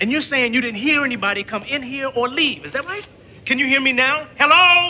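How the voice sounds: A man's put-on character voice, extremely high-pitched, bright and sharp in tone, at a fairly quick pace. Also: ordinary pitch variation.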